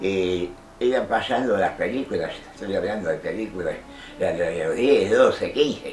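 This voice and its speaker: A man talks at a fairly slow pace. Music plays in the background and the room echo is audible. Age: 80s+. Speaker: silent film collector. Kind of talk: interview testimony. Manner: halting.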